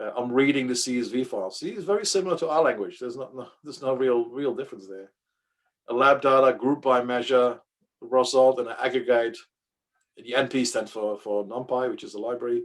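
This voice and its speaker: A man of medium pitch with a Dutch accent, a fairly quick pace and big swings in loudness. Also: ordinary pitch variation. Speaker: data science workshop leader. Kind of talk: workshop tutorial. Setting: workshop with live audience. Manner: halting, with fillers and repeats.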